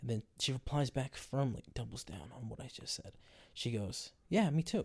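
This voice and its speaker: At a moderate pace, a man with a medium pitch and lively intonation sounds somewhat breathy, his loudness swinging widely. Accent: American. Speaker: podcast host. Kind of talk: casual chat. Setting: at home in recliner. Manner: relaxed.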